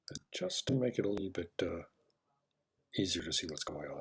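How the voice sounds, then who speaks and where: Mumbling from a man, very deep and low in pitch and somewhat breathy. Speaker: software walkthrough presenter. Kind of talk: screen-recorded tutorial narration.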